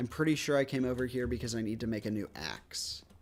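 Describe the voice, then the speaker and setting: Medium in pitch, a man speaks in an unremarkable speaking voice. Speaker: gaming streamer. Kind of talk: casual gameplay commentary.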